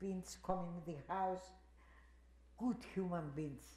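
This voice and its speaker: With a Greek accent, a woman speaks at a medium pitch and a fairly slow pace with ordinary pitch variation, amid noticeable background noise and audible room echo. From Greece. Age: 80s+. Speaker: Holocaust survivor. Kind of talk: testimony. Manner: halting.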